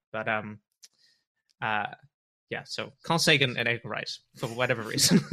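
A man with a bright, sharp tone speaks with long, frequent pauses. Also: medium pitch for a man, ordinary pitch variation, moderate pace, very clean recording, silent background. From southwest England. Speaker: YouTuber and screenwriter. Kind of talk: casual interview chat.

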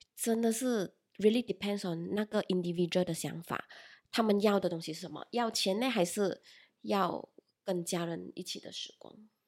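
A woman talks with a normal speaking voice at a moderate pace. Her pitch variation is ordinary, while her loudness swings widely. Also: medium pitch for a woman, very clean recording, silent background. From Malaysia. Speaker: e-commerce employee. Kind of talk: casual chat.

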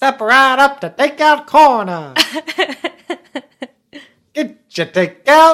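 A put-on character voice at a high pitch moves very slowly, with long, frequent pauses. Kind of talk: theatrical. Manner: loud, hawking.

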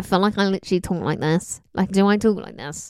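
A woman puts on a nasal character voice at a medium pitch. She talks at a very fast pace.

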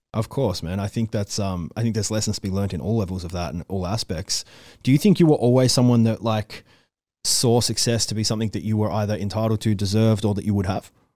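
A man with an Australian accent speaks very fast in a fairly low voice with a dark, mellow tone and ordinary pitch variation. The sound is dry and close, with no echo. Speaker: interviewer. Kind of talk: casual interview. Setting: video call.

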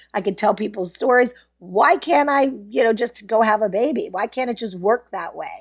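With lively intonation and a fairly high pitch, a woman talks at a moderate pace in an unremarkable speaking voice. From US, Pittsburgh. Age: 50s. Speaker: PR agency founder. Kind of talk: interview.

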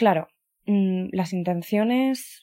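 A woman's tone is dark and mellow. Her pitch varies in an ordinary way. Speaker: podcast host. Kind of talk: solo personal monologue. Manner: hesitant, many fillers.

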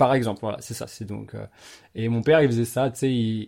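At a fairly quick pace, a man speaks at a medium pitch in a dark, mellow tone with monotone, flat intonation, on a very clean recording with a silent background. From Paris region, France. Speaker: podcast host. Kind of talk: casual interview chat.

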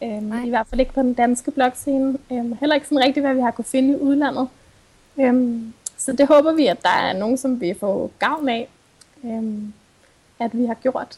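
A high-pitched woman's voice at a fairly slow pace, with fairly even intonation. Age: 20s. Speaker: sustainability blogger and psychology student. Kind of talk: interview.

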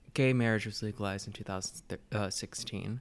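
A man with an American accent talks in a plain, everyday voice, fairly low in pitch with ordinary pitch variation. The recording is very clean with a silent background. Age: 20s. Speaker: student, guest. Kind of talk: casual chat.

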